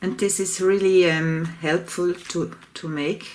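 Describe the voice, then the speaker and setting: In a non-native accent, a woman speaks at a very slow pace and a fairly low pitch with fairly even intonation, amid noticeable background noise. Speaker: collage art teacher. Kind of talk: tutorial. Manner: halting.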